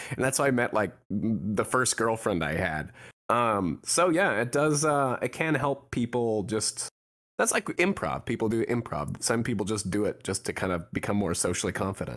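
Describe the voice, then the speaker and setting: A man's normal speaking voice at medium pitch, with an American accent, lively intonation, very even loudness and a moderate pace, on a very clean recording over a silent background. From Pacific Northwest, USA. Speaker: voice actor. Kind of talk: interview answer.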